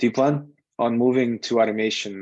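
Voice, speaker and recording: With a Russian accent, a man speaks in a dry sound with no echo against a quiet background. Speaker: software QA tester and instructor. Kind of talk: online lecture with live Q&A. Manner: casual, with frequent fillers. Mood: relaxed, candid. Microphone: video call.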